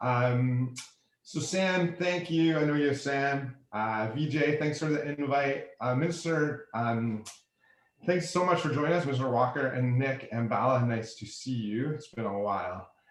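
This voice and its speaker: Audible room echo surrounds a man with a fairly high pitch and ordinary pitch variation. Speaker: energy efficiency program vendor presenter. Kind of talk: webinar presentation. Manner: fast.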